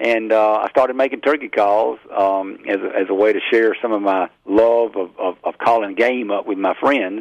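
With a Southern US accent, a man speaks at a moderate pace and fairly low pitch, keeping a fairly even intonation and hardly any pauses. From Mississippi. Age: 50s. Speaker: hunting call maker. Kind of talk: interview.

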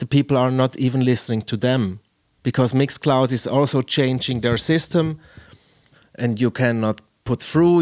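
A man with a Swiss German accent, medium in pitch with ordinary pitch variation, at a fairly slow pace, in a dry, close sound with no echo. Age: 30s. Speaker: podcast host and DJ. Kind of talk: casual interview. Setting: video call. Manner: halting.

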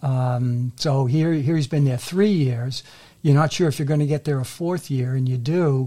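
Dark and mellow in tone, this somewhat breathy voice with an American accent moves at a moderate pace with ordinary pitch variation. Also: man, fairly high pitch for a man. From Massachusetts, Melrose. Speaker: author, retired banker. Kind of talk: interview.

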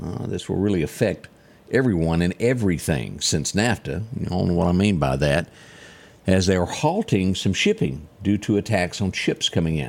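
With a Southern US accent, a man talks at a very deep, low pitch, with lively intonation and vocal fry. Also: moderate pace. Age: 50s. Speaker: radio/TV morning show host. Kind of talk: news and weather show chat.

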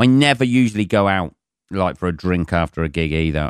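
A man speaks at a fairly quick pace with an English accent and a very deep, low pitch. The recording is very clean and dry, close-miked with no echo over a silent background. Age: 40s. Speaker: comedian. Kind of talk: casual chat. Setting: home.

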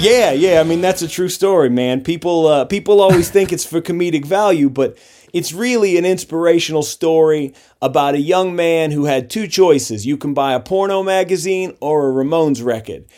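Dark and mellow in tone, a man's high-pitched voice moves with ordinary pitch variation. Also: moderate pace. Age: 30s. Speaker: punk band singer and guitarist. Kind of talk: casual interview.

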